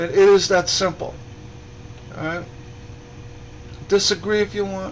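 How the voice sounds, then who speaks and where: A man's high voice, fairly slow and monotone, over noticeable background noise. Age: 60s. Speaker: stained glass artist and group admin. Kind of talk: casual livestream talk. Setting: live broadcast. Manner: halting, many repetitions.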